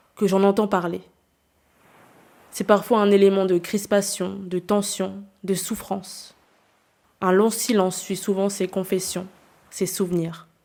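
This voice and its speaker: Very slowly, the words come out in a monotone with flat intonation. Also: woman. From New Caledonia (Nouméa). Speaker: podcast host. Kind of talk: scripted narration.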